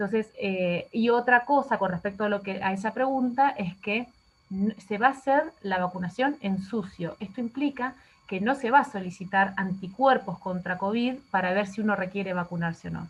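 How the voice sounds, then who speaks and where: Pitch varies in an ordinary way in a somewhat breathy voice. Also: woman, medium pitch for a woman. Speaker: infectious disease physician. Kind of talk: lecture. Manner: fast.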